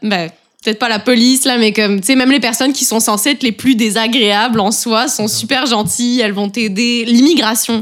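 Fairly quick and fairly high-pitched, a woman talks in a plain, everyday voice with fairly even intonation. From eastern France near Switzerland. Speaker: roommate. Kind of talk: casual chat.

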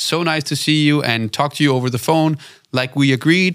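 Speaking fairly quickly, a man with a Danish accent has a bright, sharp tone. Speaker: podcast host, video production company owner. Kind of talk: interview. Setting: studio.

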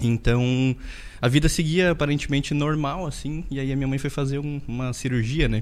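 A man with an ordinary speaking voice talks at a moderate pace and a fairly high pitch, with fairly even intonation. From interior of Rio Grande do Sul, Brazil. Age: 30s. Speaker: dentist and business owner. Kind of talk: podcast interview, personal life story.

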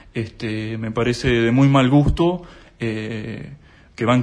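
The man's pitch sits in the medium range. It varies by an ordinary amount. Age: 20s. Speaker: accountant and whistleblower. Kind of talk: interview. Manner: hesitant, many fillers.

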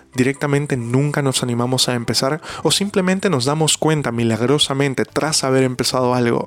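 Noticeable background noise sits behind this recording. A man talks at a fairly quick pace with a fairly high pitch. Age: 20s. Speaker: podcast host and interpreter. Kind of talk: solo podcast monologue. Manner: halting.

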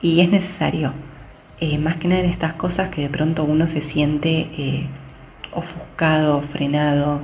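The speech moves at a fairly slow pace with fairly even intonation. Audible room echo and noticeable background noise are present. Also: woman. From Argentina. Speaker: digital communication specialist. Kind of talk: interview. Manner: hesitant.

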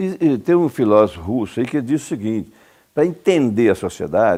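The tone is dark and mellow, delivered at a moderate pace. The recording is very clean, with a silent background. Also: man. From Brazil, Goiás (Cumari, rural). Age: 70s. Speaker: lawyer and former politician. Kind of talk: interview. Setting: at his home.

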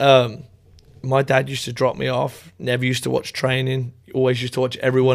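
Very fast, flat, monotone speech in an East Midlands accent. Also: man. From England, Northamptonshire. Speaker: college soccer coach. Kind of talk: casual interview.

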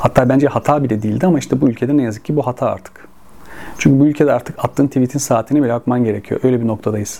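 A man at a very fast pace with fairly even intonation, over noticeable background noise. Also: medium pitch for a man. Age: 40s. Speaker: football stats channel host. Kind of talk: solo video monologue.

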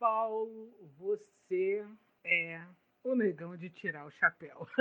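The voice belongs to a woman with a medium pitch. Her pitch varies in an ordinary way. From Duque de Caxias, Rio de Janeiro, Brazil. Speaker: podcast host and blogger. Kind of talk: casual chat.

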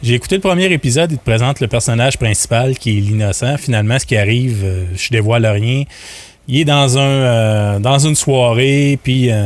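A man talks in an ordinary speaking voice at a medium pitch. His pace is moderate, with ordinary pitch variation. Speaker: podcast founder and business owner. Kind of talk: casual chat.

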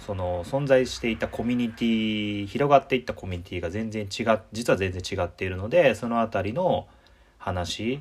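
A man speaks in a normal speaking voice at a moderate pace. His pitch is medium, with ordinary variation. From Osaka, Japan. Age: 30s. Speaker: podcast host. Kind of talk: casual chat.

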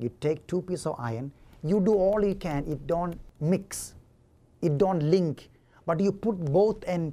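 Very slowly, a dark, mellow voice speaks with ordinary pitch variation. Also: man. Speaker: preacher. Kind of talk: sermon.

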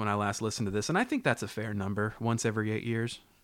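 The recording is very clean, with a silent background. A man with an American accent speaks at a fairly low pitch in a bright, sharp tone with fairly even intonation. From US South. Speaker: podcast co-host. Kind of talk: casual chat. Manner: low-key.

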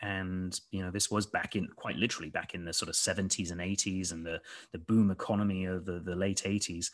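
At a moderate pace, a man with an American accent speaks in a very deep, low pitch with monotone, flat intonation. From southwest England (Devon, Somerset). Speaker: company CEO, former military officer. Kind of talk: casual interview.

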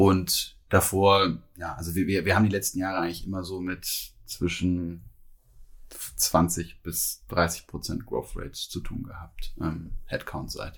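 A man speaks at a very slow pace in a very deep, low pitch with fairly even intonation. The recording is very clean, the background silent. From Cologne, Germany. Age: 30s. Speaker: recruiting director. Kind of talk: podcast interview. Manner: hesitant, many fillers and repetitions.

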